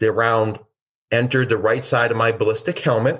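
Against a quiet background, a man with a Midwestern American accent speaks at a moderate pace. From Detroit, Michigan, US. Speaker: former DEA agent. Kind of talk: interview storytelling.

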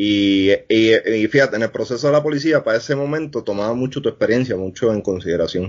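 A man with a plain, everyday voice talks at a fairly quick pace and medium pitch, with ordinary pitch variation and hardly any pauses. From Puerto Rico, north (Arecibo area). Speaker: former homicide detective. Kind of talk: interview.

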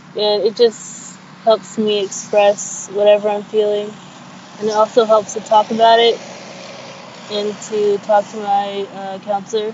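Against noticeable background noise, a woman speaks at a medium pitch and a fairly slow pace. Her intonation is flat and monotone, broken by long, frequent pauses. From Sudan, moved to US at six. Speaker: community college student. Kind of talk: personal testimony. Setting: outdoors on campus, call.

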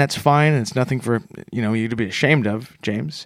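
Talking at a fairly quick pace with ordinary pitch variation, a man with a Canadian accent has a plain, everyday voice, recorded very cleanly against a silent background. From Canada. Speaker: comedy podcast co-host. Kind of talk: comedic podcast banter.

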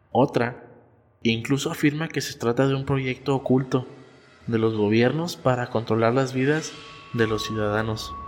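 A man speaks at a fairly slow pace and medium pitch, his intonation fairly even, with music playing in the background. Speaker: podcast host. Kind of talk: scripted narration of horror story, read aloud.

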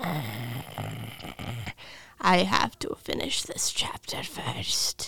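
This put-on character voice is raspy and growling. It moves at a very slow pace with long, frequent pauses. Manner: angry, possessive.

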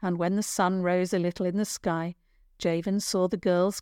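The intonation remains fairly even during this plain reading aloud.

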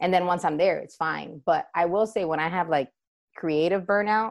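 A woman's normal speaking voice, fairly low and fairly quick, with fairly even intonation against a quiet background. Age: 30s. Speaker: dance business owner. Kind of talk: interview.

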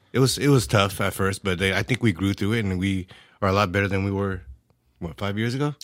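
Talking at a very fast pace, a man with an American accent has a fairly low pitch. His ordinary pitch variation comes through in a very clean recording with a silent background. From California, San Jose Bay Area. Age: 40s. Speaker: former IT service desk manager. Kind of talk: casual chat.

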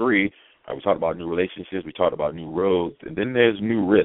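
A man with an American accent rattles along very fast in a very deep, low pitch, with ordinary pitch variation and big swings in loudness. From Baltimore, US. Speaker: podcast host and speaker. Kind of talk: motivational talk.

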